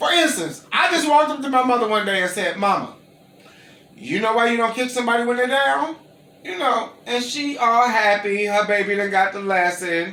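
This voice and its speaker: With audible room echo and noticeable background noise, a man with an American accent speaks at a moderate pace in a raised, projected voice, high pitched, with lively intonation and an animated tone. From Gary, Indiana, US Midwest. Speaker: interviewee, caterer. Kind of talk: casual interview, storytelling. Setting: at home.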